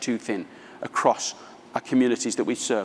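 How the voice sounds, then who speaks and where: A man speaks with a British accent. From England, London. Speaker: author and business speaker. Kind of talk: conference keynote talk.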